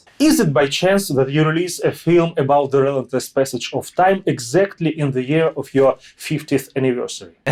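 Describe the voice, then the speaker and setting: Barely pausing, a man with a Russian accent speaks at a fairly high pitch. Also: ordinary pitch variation, moderate pace. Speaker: interviewer. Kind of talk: interview.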